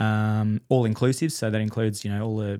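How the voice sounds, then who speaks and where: A man with an Australian accent and ordinary pitch variation, in a very clean recording with a silent background. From Perth, Western Australia. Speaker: electrician and coworking space owner. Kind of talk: interview. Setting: studio.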